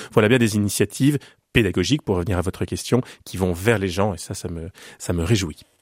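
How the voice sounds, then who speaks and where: Recorded very cleanly with a silent background and a dry, close sound with no echo, a man speaks at a fairly quick pace in a fairly low pitch with ordinary pitch variation. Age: 40s. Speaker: pianist and music educator. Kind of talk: radio interview. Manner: halting, frequent repetitions.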